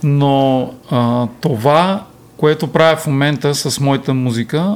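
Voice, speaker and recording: Over noticeable background noise, a man speaks at a fairly high pitch. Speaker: musician and songwriter. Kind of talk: casual chat.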